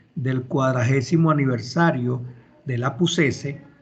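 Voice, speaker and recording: In a room with audible echo, a man talks in a somewhat breathy, fairly high voice with ordinary pitch variation. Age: 60s. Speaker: university law professor. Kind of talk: online class lecture. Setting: video call.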